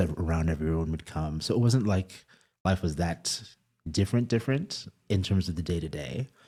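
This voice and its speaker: Recorded very cleanly against a silent background, a man with a New York accent speaks at a moderate pace in a very deep, low pitch, with a dark, mellow tone and ordinary pitch variation. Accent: American (New York). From Eswatini and New York. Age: 30s. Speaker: media editor. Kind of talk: interview conversation.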